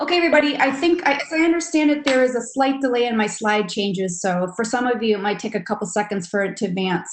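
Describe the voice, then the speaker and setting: Here a woman speaks in an American accent at a high pitch. Her pace is fairly quick. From Milwaukee, Wisconsin. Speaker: real estate developer. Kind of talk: webinar presentation. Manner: fast.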